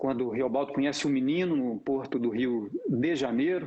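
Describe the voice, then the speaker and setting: A man speaks at a fairly slow pace with fairly even intonation, in a rural Minas Gerais accent. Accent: rural Minas Gerais accent of his childhood. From Brazil, Novo Cruzeiro, northeast Minas Gerais. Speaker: actor. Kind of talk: casual introduction talk. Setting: live stream.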